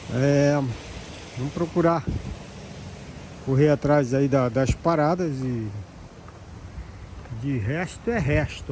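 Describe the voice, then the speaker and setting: Noticeable noise fills the background. Against it, a man speaks fairly slowly. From Brazil. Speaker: elderly caregiver vlogger. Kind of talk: casual vlog monologue.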